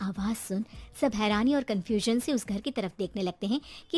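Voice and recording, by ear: A natural voice reads aloud with ordinary pitch variation.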